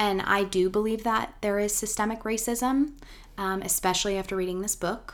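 A woman speaks in a normal speaking voice at a moderate pace, with fairly even intonation. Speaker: podcast host. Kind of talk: casual interview chat. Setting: morning recording.

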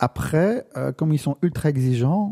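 Recorded very cleanly against a silent background, a man speaks in a dark, mellow, somewhat breathy voice with a dry, close sound and no echo. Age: 50s. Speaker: photographer. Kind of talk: interview. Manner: halting.

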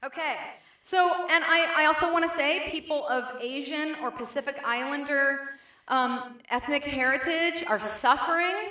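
Raising and projecting her voice, a woman speaks at a moderate pace in a high pitch with ordinary pitch variation, with noticeable background noise behind her. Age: 40s. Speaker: preacher. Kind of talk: sermon. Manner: halting.

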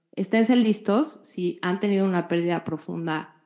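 The woman's voice has a dark, mellow tone at a medium pitch. She talks at a moderate pace. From Mexico. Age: 40s. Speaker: podcast co-host. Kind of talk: casual chat.

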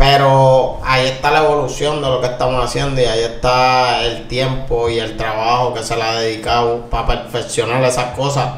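A man talks with hardly any pauses in a monotone, flat intonation, against noticeable background noise and audible room echo. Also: medium pitch for a man, moderate pace. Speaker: reggaeton singer. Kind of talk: interview.

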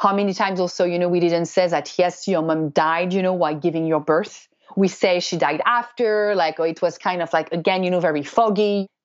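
A woman has a plain, everyday voice with a fairly low pitch. She talks at a fairly quick pace with fairly even intonation and hardly any pauses. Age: 30s. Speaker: family constellations therapist. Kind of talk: interview.

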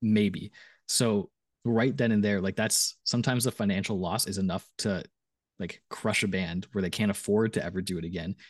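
An unremarkable speaking voice from a man, fairly low in pitch, at a moderate pace with fairly even intonation, dry and close with no echo against a quiet background. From Canada. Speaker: musician. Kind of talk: casual chat.

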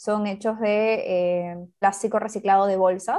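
Over a quiet background, a woman with a fairly high pitch uses a dark, mellow tone and ordinary pitch variation. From Peru. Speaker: social entrepreneur, co-founder. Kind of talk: interview.

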